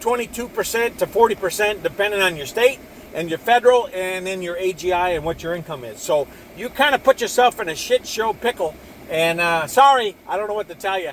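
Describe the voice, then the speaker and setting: Noticeable background noise surrounds a man's high-pitched voice. He talks at a fairly quick pace with ordinary pitch variation. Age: 60s. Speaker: video blogger sharing personal finance views. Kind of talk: casual monologue. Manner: casual, rambling with repetitions and fillers.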